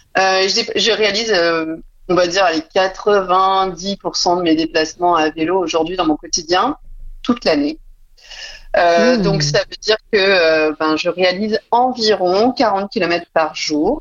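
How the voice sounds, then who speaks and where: A woman speaks at medium pitch. Her pace is very slow. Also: ordinary pitch variation. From Burgundy, France (Dijon). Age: 30s. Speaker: entrepreneur, communication agency founder. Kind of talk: interview.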